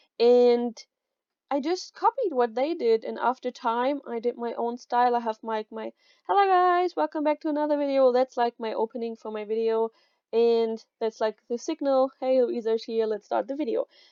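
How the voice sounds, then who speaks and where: A woman speaks in a high pitch with a German accent. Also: ordinary pitch variation, moderate pace. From Germany. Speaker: YouTuber. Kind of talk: tutorial. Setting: home recording. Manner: casual. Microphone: new mic.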